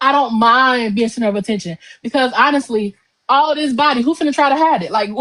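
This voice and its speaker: A woman's loud, high voice in an American accent, bright and sharp in tone, at a very fast pace. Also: ordinary pitch variation. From Chicago. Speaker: poet and confidence coach. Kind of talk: interview.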